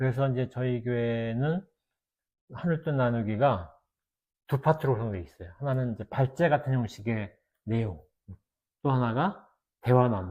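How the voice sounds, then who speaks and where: Somewhat breathy, this man speaks at a moderate pace and a medium pitch. He takes long, frequent pauses. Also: ordinary pitch variation. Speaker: theologian and former pastor. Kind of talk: casual chat.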